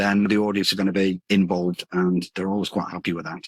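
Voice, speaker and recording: A man's very deep, low voice, fairly even in intonation, in a dry, close sound with no echo. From northern England, Hull. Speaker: comedy coach. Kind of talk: interview. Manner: fast.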